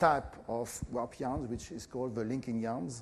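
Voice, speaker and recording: With a French accent, a man talks at a moderate pace. His pitch is medium. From France. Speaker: professor. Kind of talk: lecture. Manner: halting, many fillers.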